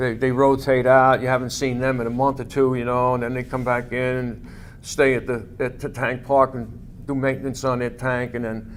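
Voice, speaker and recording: Delivered at a moderate pace, a man's medium-pitched voice with an American accent stays monotone and flat in intonation. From New York City, Staten Island. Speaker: war veteran. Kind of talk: oral history interview. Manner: halting, many fillers.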